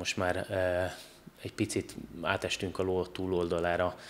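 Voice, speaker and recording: A man with a very deep, low pitch over light background noise. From Hungary. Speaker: competitive judoka; podcast guest. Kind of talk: casual interview. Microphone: studio mic.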